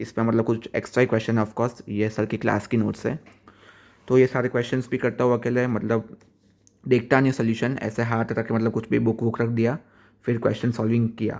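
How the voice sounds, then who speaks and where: A man's medium-pitched voice in a flat, monotone delivery. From Gujarat, India. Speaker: student vlogger. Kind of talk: casual vlog. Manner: halting.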